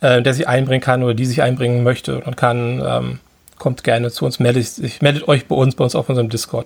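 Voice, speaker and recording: A man talks at a moderate pace in an unremarkable speaking voice. His pitch sits in the medium range. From Hamburg, northern Germany. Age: 40s. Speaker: event organizer. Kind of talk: casual chat.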